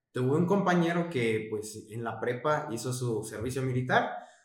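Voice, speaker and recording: Audible room echo follows the man's voice, and noticeable background noise fills the recording. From Mexico, Chiapas. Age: 20s. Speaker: podcast co-host, student. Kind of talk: casual chat. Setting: late-night recording.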